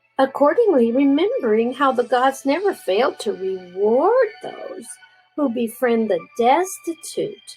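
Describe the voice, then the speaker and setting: Music plays in the background as a woman speaks at a very slow pace. Her high pitch moves in very wide swings. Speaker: grandmother reading aloud to grandchildren. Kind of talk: storybook reading.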